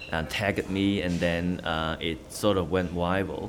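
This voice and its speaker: A man with a very deep, low pitch talks at a moderate pace with fairly even intonation, with audible room echo. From Hong Kong. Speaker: news reporter. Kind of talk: interview.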